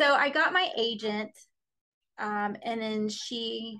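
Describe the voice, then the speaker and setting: In a quiet background, a woman with an American accent speaks with a bright, sharp tone, fairly high pitch and ordinary pitch variation. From Florida. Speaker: romance novelist. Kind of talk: casual chat.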